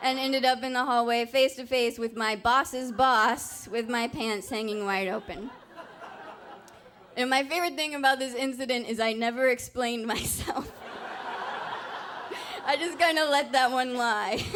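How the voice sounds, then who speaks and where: Noticeable background noise runs under this recording. A woman with a high voice speaks with long, frequent pauses. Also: ordinary pitch variation, moderate pace. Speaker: storyteller. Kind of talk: live storytelling performance. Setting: live stage with audience. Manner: humorous, conversational.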